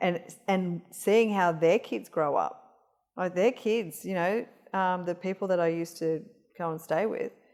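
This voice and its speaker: At a fairly slow pace, a woman with an Australian accent and medium pitch speaks with ordinary pitch variation. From Australia, Northern Territory. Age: 50s. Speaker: cancer rehabilitation practitioner. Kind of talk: casual interview chat. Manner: hesitant, many fillers.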